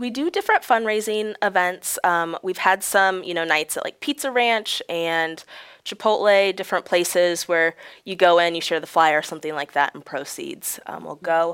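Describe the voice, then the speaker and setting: On a very clean recording with a silent background and a dry, close sound with no echo, a woman with an American accent uses a normal speaking voice at medium pitch and a moderate pace, with ordinary pitch variation and big swings in loudness. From central Illinois (Galesburg). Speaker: charity volunteer with a chronic illness. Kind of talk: interview.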